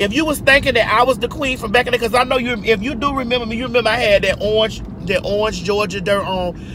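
A woman talks fast at a fairly high pitch with ordinary pitch variation over clear background noise.

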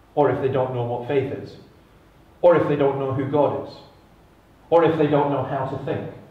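Amid audible room echo, a man speaks at a moderate pace in a fairly high, monotone voice with flat intonation and long, frequent pauses. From Scotland. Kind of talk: conference talk. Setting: stage with audience. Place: stage.

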